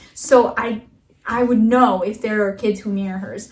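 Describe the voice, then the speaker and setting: A woman's fairly high voice at a fairly quick pace, with ordinary pitch variation, against noticeable background noise. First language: Russian. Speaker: podcast co-host. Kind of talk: casual chat.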